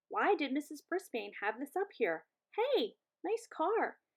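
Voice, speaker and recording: A woman puts on a character voice that is squeaky and extremely high. She talks fairly slowly with very wide pitch swings. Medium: read story.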